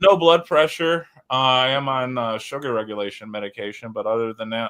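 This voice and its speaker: This man has a plain, everyday voice at a medium pitch, speaking at a fairly quick pace with ordinary pitch variation. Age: 40s. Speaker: live-stream host. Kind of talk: casual chat.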